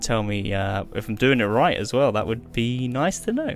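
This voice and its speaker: Against music in the background, a man with a British accent speaks at a medium pitch with ordinary pitch variation. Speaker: gaming youtuber. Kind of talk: gameplay tutorial. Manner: casual, unscripted; fast.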